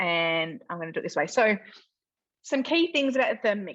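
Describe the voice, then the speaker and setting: Someone with an Australian accent talks at a fairly quick pace with lively intonation. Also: woman. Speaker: cooking demonstrator. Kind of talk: live cooking demonstration. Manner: loud.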